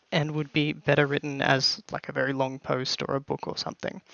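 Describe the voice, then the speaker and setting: A man speaks with an Australian accent. His pace is fairly quick. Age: 20s. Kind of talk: scripted channel introduction to camera.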